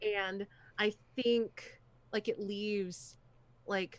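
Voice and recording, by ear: With fairly even intonation, a person reads aloud in a natural voice.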